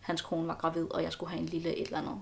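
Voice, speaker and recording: Vocal fry runs through the woman's speech, pitched fairly low. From Denmark, Aarhus. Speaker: student. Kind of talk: casual interview. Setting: at home, sitting on the floor. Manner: halting.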